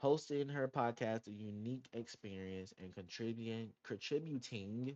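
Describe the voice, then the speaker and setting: The speaker is a man with a medium pitch. He moves at a moderate pace with ordinary pitch variation. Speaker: podcast host. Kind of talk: casual solo podcast monologue. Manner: halting, stumbles over words.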